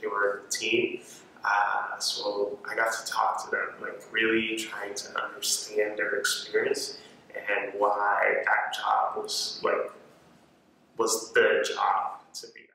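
Strong room echo and light background noise surround a very slowly paced voice with big swings in loudness. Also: man. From Cape Verde. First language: Cape Verdean Creole. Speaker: university student. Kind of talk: interview answer. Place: hall.

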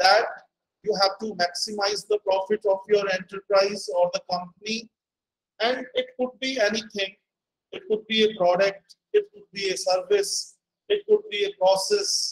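Here a man speaks in a high pitch at a moderate pace, with fairly even intonation. Light background noise can be heard. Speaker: guest lecturer. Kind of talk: lecture. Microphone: video call.

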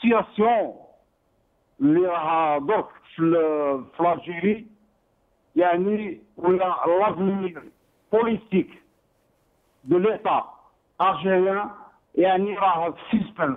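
A man speaks very slowly in an Algerian accent, pausing long and often. His pitch is high, with ordinary variation. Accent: Algerian Arabic with French code-switching. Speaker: caller. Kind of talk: phone-in political opinion. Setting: phone call.

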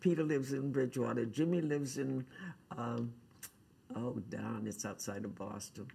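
Vocal fry runs through this woman's very deep, low voice, which has a dark, mellow tone. She keeps a moderate pace with ordinary pitch variation. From Cape Cod, Massachusetts. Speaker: artist and quilter. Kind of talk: oral history interview answer. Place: meeting room. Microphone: lapel.

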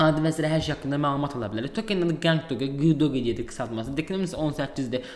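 Through noticeable background noise comes a man's fairly high voice with ordinary pitch variation. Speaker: crypto YouTuber. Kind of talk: screen-share tutorial. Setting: at home.

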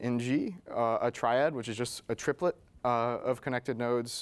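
A man is speaking. His intonation is fairly even. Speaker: presenter at tech meetup. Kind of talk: presentation. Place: meeting room. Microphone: lapel.

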